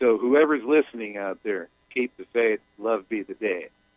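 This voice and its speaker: At a fairly slow pace, a normal speaking voice carries ordinary pitch variation. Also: man. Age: 50s. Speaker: caller. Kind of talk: phone-in reading.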